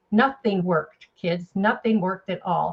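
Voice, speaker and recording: Somewhat breathy and animated, a woman speaks with ordinary pitch variation. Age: 80s+. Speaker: network marketing presenter. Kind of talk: testimony.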